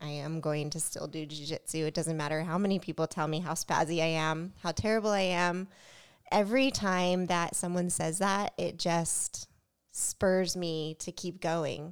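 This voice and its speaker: A woman with an ordinary speaking voice, fairly low in pitch, talking at a moderate pace. Her intonation stays fairly even, and the recording is very clean with a silent background. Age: 30s. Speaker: podcast co-host and jiu-jitsu student. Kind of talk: casual chat.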